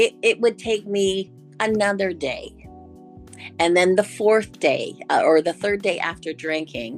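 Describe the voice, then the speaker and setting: Music plays in the background while a woman talks at a fairly slow speed. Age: 60s. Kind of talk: interview answer.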